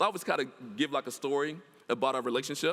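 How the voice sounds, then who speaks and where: A man with a Mississippi accent speaks in an animated tone at a fairly high pitch, with vocal fry. The recording is very clean, with a silent background. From US South. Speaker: professor. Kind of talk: lecture. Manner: fast.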